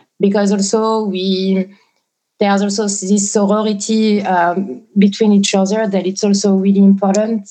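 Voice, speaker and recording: This woman has a medium pitch and a dark, mellow tone, with a French accent. Her delivery is flat and monotone at a moderate pace. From southwest France. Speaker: ambient and experimental musician. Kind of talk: casual interview. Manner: hesitant, many fillers.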